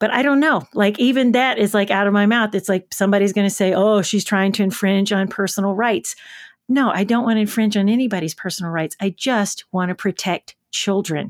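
In a very clean, dry, close recording with a silent background and no echo, a woman with an American accent talks at a fairly quick pace and medium pitch, animated in tone, with ordinary pitch variation and very even loudness. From rural West Tennessee, US South. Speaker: children's TV host and educator. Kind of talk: interview.

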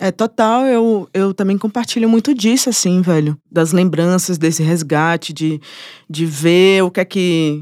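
A woman with an unremarkable speaking voice, medium pitch, ordinary pitch variation and a moderate pace, in a dry, close sound with no echo over a very clean, silent background. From Brazil, Bahia (Salvador). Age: 20s. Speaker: musician and producer. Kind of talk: casual interview chat.

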